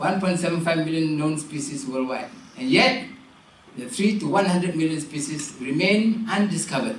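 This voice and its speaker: Amid noticeable background noise and audible room echo, a man talks at a moderate pace in a high pitch with lively intonation. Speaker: keynote speaker. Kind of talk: keynote address.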